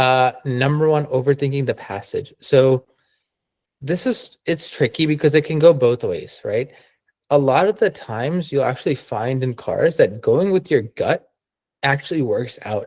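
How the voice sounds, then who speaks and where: Here is a man with a plain, everyday voice. His pitch is fairly high and his pace moderate. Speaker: test prep tutor. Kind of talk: online workshop lecture.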